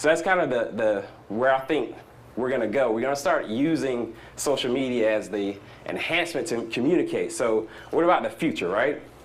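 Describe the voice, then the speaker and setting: Through audible room echo and noticeable background noise, a man with a Southern US accent speaks at a fairly quick pace and medium pitch, his tone animated and his intonation lively. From US South. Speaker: startup entrepreneur speaker. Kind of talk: conference talk. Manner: fast.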